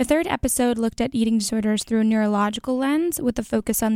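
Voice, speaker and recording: A woman speaks very fast in a fairly high voice with a dark, mellow tone and ordinary pitch variation, her sound dry and close with no echo on a very clean recording with a silent background. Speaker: college student podcast host. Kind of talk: solo educational monologue.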